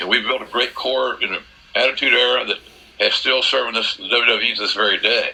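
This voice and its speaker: A man with an American accent speaks at a fairly quick pace over noticeable background noise. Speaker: wrestling commentator. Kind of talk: interview answer.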